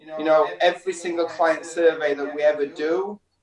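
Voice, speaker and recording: With a northern English accent, a man speaks at a moderate pace in a fairly high pitch and fairly even intonation. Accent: northern English, kept. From Yorkshire, northern England. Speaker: hairdresser. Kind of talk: casual chat. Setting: live stream interview.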